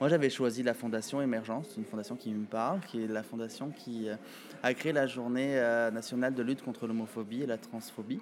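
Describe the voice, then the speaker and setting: Using an ordinary speaking voice, a man speaks at medium pitch and a fairly quick pace with ordinary pitch variation. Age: 30s. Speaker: pageant titleholder and show organizer. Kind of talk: interview.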